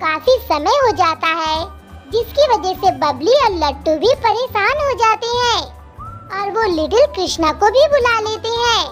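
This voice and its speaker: An extremely high-pitched cartoonish character voice talks at a moderate pace with clear music playing in the background. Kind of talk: children's cartoon story recap. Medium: read story. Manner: simple, brisk, friendly.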